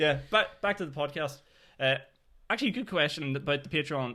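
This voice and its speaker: A man with a Northern Irish accent, bright and sharp in tone, with lively intonation and a fairly quick pace, on a very clean recording with a silent background. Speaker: podcast host and stand-up comedian. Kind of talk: casual chat.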